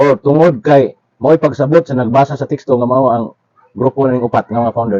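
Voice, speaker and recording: Dry and close with no echo, a man's dark, mellow voice at medium pitch speaks in a Philippine accent at a fairly quick pace with fairly even intonation. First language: Cebuano (speaking Tagalog). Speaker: religious commentator. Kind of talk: religious lecture.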